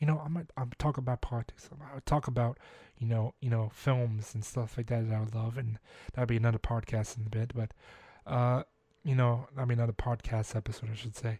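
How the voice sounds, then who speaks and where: A man's dark, mellow, somewhat breathy voice at a fairly quick pace, on a very clean recording with a silent background. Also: medium pitch for a man, fairly even intonation. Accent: American. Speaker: podcast host. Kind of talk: solo podcast monologue. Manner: halting, many fillers and self-corrections; casual.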